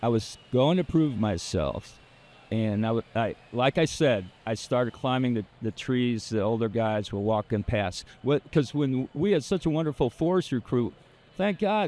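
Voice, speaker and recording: An unremarkable speaking voice belongs to a man of medium pitch with lively intonation. He keeps a moderate pace, and the sound is dry and close with no echo. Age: 60s. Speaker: arborist. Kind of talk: interview answer.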